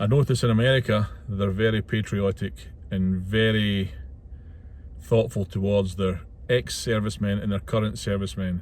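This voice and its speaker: Man with a Scottish accent, fairly low pitch, ordinary pitch variation and a moderate pace. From Scotland, west coast (Ayrshire). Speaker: truck driver and vlogger. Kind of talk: casual vlog monologue. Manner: hesitant, with fillers.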